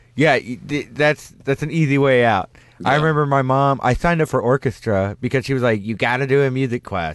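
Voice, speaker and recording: In a quiet background, a man talks at a fairly quick pace. He has an unremarkable speaking voice at medium pitch. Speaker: radio host. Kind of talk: casual chat. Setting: studio.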